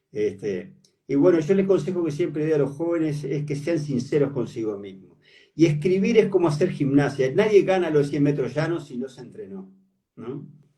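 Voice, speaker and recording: A man's fairly high, somewhat breathy voice with a Uruguayan accent, dark and mellow in tone, lively intonation, big swings in loudness, a moderate pace, and audible room echo. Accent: Uruguayan Rioplatense Spanish. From Uruguay, Paysandú. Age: 70s. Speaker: writer. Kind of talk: interview.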